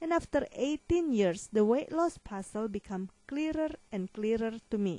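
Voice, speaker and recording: Speaking with a non-native accent, a woman with a dark, mellow tone and a fairly high pitch moves slowly through very wide pitch swings, with hardly any pauses. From Asia. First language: not English. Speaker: weight loss consultant and author. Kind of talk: promotional monologue.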